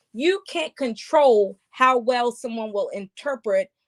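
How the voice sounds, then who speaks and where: A woman's high-pitched, animated voice with ordinary pitch variation, dry and close with no echo. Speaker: podcast host and spiritual speaker. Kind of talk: casual chat.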